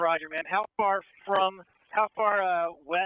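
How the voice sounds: A man speaks at a fairly high pitch with lively intonation, in a dry, close sound with no echo.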